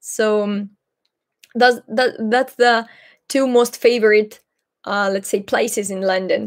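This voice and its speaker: A woman with a Greek accent. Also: very clean recording, silent background. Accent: Greek accent, wants to sound more British. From Greece, Patras. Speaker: Greek language teacher and YouTuber. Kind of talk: live Q&A stream. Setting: livestream. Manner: halting, many fillers.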